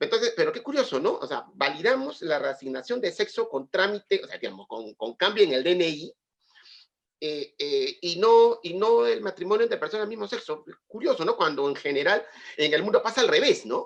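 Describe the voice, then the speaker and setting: A man speaks at a fairly quick pace, his loudness swinging in big jumps. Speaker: lawyer and university lecturer. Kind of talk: webinar discussion.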